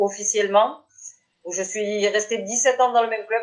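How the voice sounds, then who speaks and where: A woman's medium-pitched voice at a moderate pace, a plain, everyday voice. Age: 30s. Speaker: petanque player. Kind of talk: interview.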